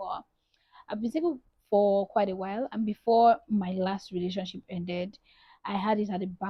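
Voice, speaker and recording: A woman's somewhat breathy voice at medium pitch, at a moderate pace. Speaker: lifestyle vlogger. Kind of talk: casual vlog talk.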